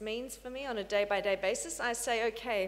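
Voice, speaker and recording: Speaking in an Australian accent, a woman with a fairly high pitch keeps a moderate pace and ordinary pitch variation. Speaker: research facility director. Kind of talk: conference talk. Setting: conference panel. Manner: hesitant with fillers.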